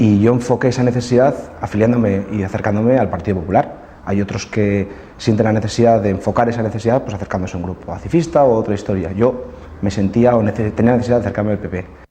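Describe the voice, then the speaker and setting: Noticeable background noise sits behind a man speaking very fast. His pitch is fairly low, with ordinary variation. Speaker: party politician. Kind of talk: interview testimony.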